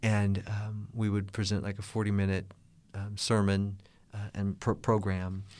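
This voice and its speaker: A man with a Midwestern American accent, fairly low pitch and monotone, flat intonation at a fairly slow pace. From US Midwest, Kansas City, Missouri. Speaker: gospel musician and network manager. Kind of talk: interview. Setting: studio.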